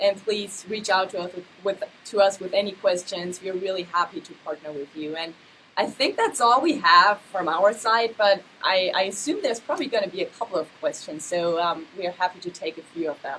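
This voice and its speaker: A woman of medium pitch speaks at a moderate pace with ordinary pitch variation and big swings in loudness. Noticeable background noise runs underneath. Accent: German. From Germany. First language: German. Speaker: MBA admissions associate director. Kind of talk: live Q&A information session. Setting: livestream video.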